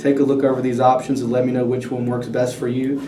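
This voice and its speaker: Through audible room echo and noticeable background noise, a man at medium pitch talks at a very fast pace. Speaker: car dealership finance manager. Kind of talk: role-play sales pitch.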